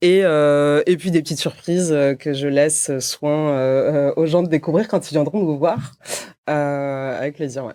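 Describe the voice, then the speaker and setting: With a dark, mellow tone and a very deep, low pitch, a woman speaks at a fairly slow pace with fairly even intonation. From southern France, Montpellier. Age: 30s. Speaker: company co-founder and CEO. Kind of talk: podcast interview. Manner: hesitant, many fillers.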